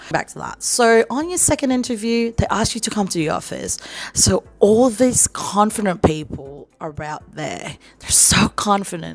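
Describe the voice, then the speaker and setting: Against noticeable background noise, a woman with an American accent speaks at a moderate pace with lively intonation. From Philippines. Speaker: vlogger, call centre worker. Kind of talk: advice vlog. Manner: casual, conversational.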